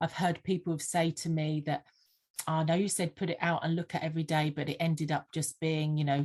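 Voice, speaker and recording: A woman's very deep, low voice in a slight Sussex accent, monotone and flat, at very even loudness over a quiet background. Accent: slight Sussex twang. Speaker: vision board mentor. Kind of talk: podcast interview. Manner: hesitant, frequent fillers.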